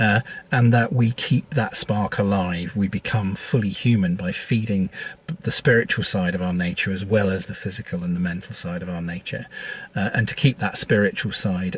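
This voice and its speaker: This man has a fairly low voice and speaks with a British accent. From Britain. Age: 60s. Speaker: priest. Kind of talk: reflective vlog monologue. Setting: at an airport. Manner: halting, many fillers and repeats.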